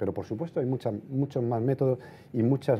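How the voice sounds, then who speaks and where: A man's voice with a dark, mellow tone. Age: 50s. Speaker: portrait photographer. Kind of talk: lecture. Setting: stage with audience. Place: hall.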